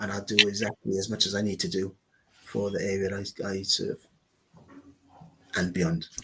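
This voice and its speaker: Moderate pace with fairly even intonation. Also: man. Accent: South Wales. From Wales, Newport. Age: 50s. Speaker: local councillor and former footballer. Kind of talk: interview.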